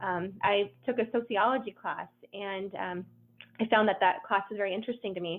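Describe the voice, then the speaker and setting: A woman talks at a fairly quick pace. Her medium-pitched voice keeps a fairly even intonation. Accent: American. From Southern California. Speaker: nonprofit director. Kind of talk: interview. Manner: hesitant, many fillers.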